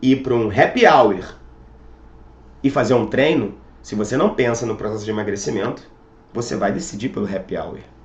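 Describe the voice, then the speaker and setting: A man speaks somewhat breathily at a moderate pace. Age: 30s. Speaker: fitness coach. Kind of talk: motivational talk.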